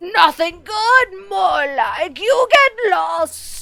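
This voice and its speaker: Someone uses a put-on character voice at a very slow pace while faint music plays in the background. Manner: grumpy, dismissive.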